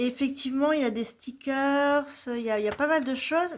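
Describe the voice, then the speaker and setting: This woman speaks with a high pitch. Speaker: crafting YouTuber. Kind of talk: casual vlog chat. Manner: hesitant, many fillers.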